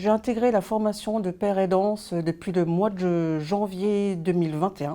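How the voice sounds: A woman with a dark, mellow tone speaks at a moderate pace and medium pitch, her intonation fairly even.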